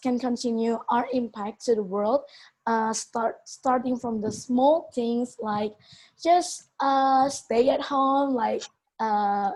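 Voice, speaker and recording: Speaking very slowly with a non-native accent, a woman uses a high pitch and ordinary pitch variation. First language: not English. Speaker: youth event participant. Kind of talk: testimony. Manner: halting.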